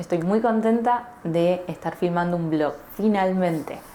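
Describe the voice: Delivered at a fairly slow pace in an Argentine accent, the voice carries a dark, mellow tone with ordinary pitch variation. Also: woman, fairly low pitch for a woman.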